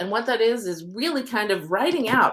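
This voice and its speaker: With a high pitch and very wide pitch swings, a woman talks at a fairly quick pace in an animated tone. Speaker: oracle card reader and manifesting coach. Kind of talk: live stream spiritual reading. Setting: live video stream. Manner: fast.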